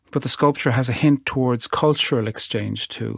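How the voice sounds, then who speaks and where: A man's voice, fairly even in intonation, on a very clean recording with a silent background and a dry, close sound with no echo. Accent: Irish. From Ireland. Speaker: poet. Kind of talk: talk about art; poetry reading.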